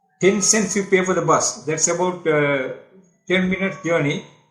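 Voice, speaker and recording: With music in the background and audible room echo, a man with a Tamil accent speaks at a high pitch with ordinary pitch variation. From Sri Lanka, Kandy area (Madawala). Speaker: journalist and author. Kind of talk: life story interview. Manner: hesitant, many fillers.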